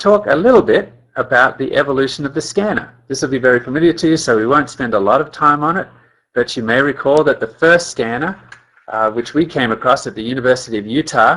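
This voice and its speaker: A man's fairly high voice at a very fast pace, full of lively intonation. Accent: Australian. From Australia. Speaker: company scientist. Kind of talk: webinar presentation. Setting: webinar call.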